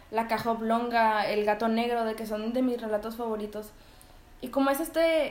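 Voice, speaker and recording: In a Mexican accent, a woman with fairly high pitch and fairly even intonation speaks at a moderate pace, with audible room echo around her. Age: 20s. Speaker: podcast co-host and writer. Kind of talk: casual chat.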